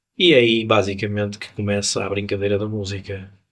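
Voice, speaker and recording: This man has a plain, everyday voice, pitched fairly low, with fairly even intonation. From Porto, northern Portugal (born in Angola). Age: 60s. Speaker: musician. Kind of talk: interview. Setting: jazz club.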